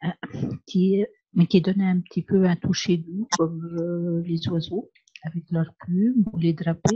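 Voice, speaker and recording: Soft-spoken and somewhat breathy, a woman speaks at a very slow pace with a dark, mellow tone and a fairly low pitch. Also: fairly even intonation, dry, close sound with no echo. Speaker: pastel class participant. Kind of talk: casual chat.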